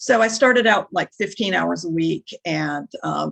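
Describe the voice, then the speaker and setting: A woman speaks with a Minnesotan accent. The sound is dry and close, with no echo. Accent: Minnesota. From northern Minnesota. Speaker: nonprofit worker. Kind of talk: interview.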